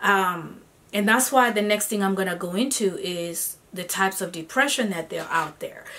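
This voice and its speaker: There is noticeable background noise as a woman speaks at a moderate pace with ordinary pitch variation. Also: medium pitch for a woman. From Kenya, Nairobi. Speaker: singer-songwriter and vlogger. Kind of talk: vlog monologue. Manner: conversational, with fillers.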